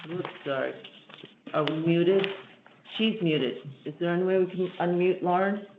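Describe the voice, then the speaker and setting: Long, frequent pauses over noticeable background noise. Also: moderate pace. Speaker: committee chair. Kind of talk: public meeting. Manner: soft-spoken.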